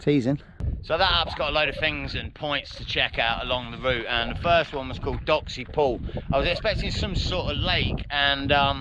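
Noticeable background noise runs through the clip. The sound is dry with no echo. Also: man, moderate pace. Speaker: hiker vlogger. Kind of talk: casual vlog chat. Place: open country. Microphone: phone near.

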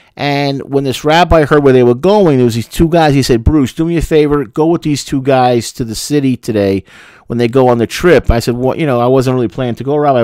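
A man talks at a fairly quick pace with ordinary pitch variation. The background is quiet and the sound is dry, without echo. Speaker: commentator or teacher. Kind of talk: casual talk with a personal story. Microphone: studio mic.

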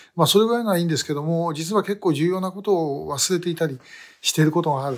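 A man talks at a very fast pace with a fairly high pitch. His pitch variation is ordinary. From Japan. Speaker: activist for abductee issue. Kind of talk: video monologue. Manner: halting with many fillers. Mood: self-deprecating, apologetic. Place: office. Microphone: phone near.

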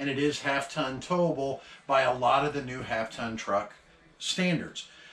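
A man at a moderate pace, with audible room echo. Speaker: RV dealer salesperson. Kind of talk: product tour walkthrough.

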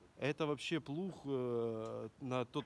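Lively intonation carries over light background noise. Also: man. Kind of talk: casual conversation. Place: farm machine. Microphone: phone near.

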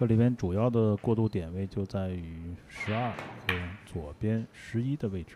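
This man's voice sits at medium pitch with a dark, mellow tone. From Heilongjiang, Greater Khingan (Jiagedaqi). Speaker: billiards commentator. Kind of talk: live sports commentary.

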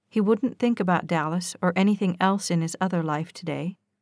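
A woman with an ordinary speaking voice and ordinary pitch variation is heard on a very clean recording with a silent background and a dry, close sound with no echo. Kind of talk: audiobook reading of a romance novel.

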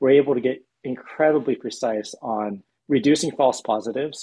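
A man talks with ordinary pitch variation at a moderate pace against a quiet background. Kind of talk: interview answer. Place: home room. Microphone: video call.

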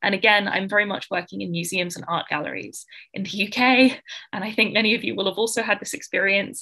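A woman talks at a very fast pace with a bright, sharp tone and some vocal fry. Her pitch varies in an ordinary way, and the background is quiet. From Australia. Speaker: art historian and writer; panelist, museum educator. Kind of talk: conference talk and panel discussion; panel discussion remarks. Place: home room. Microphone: video call.

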